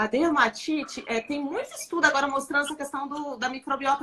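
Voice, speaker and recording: A woman talks over noticeable background noise. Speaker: dermatologist. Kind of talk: live stream interview. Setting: Instagram live.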